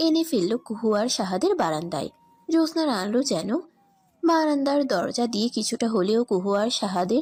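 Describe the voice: The reading aloud is plain, though the intonation is lively.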